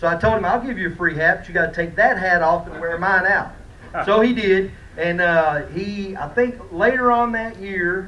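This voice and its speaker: A loud, high-pitched male voice at a moderate pace, with ordinary pitch variation, audible room echo and noticeable background noise. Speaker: fishing rod company representative. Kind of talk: award presentation at a conference. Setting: conference room with audience.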